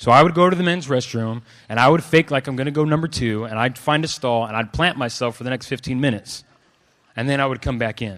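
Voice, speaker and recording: On a very clean recording with a silent background, a man with an American accent talks at a very fast pace, his medium-pitched voice animated in tone with ordinary pitch variation. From California (Clovis, family from Los Angeles). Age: 20s. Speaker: preacher. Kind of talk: sermon. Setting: stage with audience.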